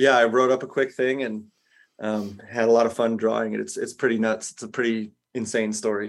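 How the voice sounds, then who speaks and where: Speaking at a fairly quick pace, a man delivers his words in a monotone at a medium pitch with flat intonation. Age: 40s. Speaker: comic book artist. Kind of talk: interview.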